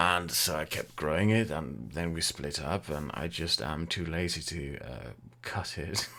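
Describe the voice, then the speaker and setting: Using an English accent, a man speaks slowly-ish at a fairly slow pace with a very deep, low pitch and ordinary pitch variation. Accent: English-sounding. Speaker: YouTuber and streamer. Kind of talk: live Q&A stream, casual. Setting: live stream with chat. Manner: casual, hesitant with fillers.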